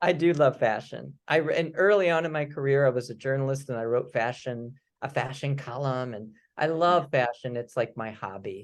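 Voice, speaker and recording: A man with a slight Midwestern accent, medium pitch, ordinary pitch variation and a moderate pace, against a quiet background. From US Midwest, St. Louis, Missouri. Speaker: writer. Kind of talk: casual chat.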